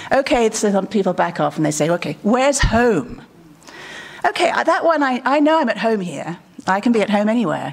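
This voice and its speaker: Against noticeable background noise, a woman with a British accent speaks at a fairly quick pace, her fairly high pitch moving in very wide swings. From England. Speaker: conference speaker. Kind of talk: conference talk.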